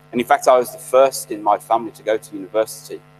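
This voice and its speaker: Music plays in the background of this very fast speech. The sound is dry and close, with no echo. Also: man. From Birmingham, English Midlands. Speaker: graduation guest speaker.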